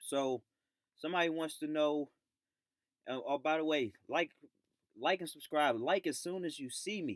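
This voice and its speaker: The recording is dry and close, with no echo. A man with a fairly high pitch speaks at a moderate pace. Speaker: YouTuber giving dating advice. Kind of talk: live stream monologue. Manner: speaking louder than usual; hesitant, many fillers.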